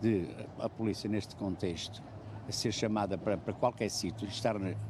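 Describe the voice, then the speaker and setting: The man's voice is fairly low and somewhat breathy. He keeps a moderate pace. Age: 70s. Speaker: passer-by interviewed in street vox pop. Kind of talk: street interview. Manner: halting, repetitive.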